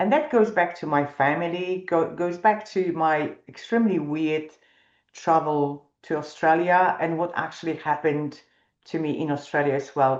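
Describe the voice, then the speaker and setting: In a non-native accent, a woman speaks with a very deep, low pitch and ordinary pitch variation. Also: moderate pace. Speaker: financial planner. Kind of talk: webinar presentation. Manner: hesitant, many fillers.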